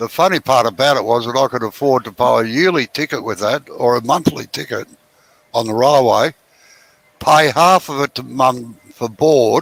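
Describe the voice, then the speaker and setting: A man speaks with an Australian accent. His pitch is medium, with ordinary pitch variation. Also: moderate pace. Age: 70s. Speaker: woodturner. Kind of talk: casual chat.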